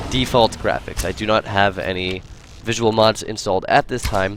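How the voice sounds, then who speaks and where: Medium pitch from a man, with ordinary pitch variation and music in the background. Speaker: game streamer. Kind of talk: live gameplay commentary. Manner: fast; halting.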